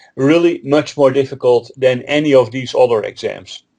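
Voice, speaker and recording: A man speaks with a Dutch accent. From Netherlands. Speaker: Linux trainer and author. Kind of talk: interview.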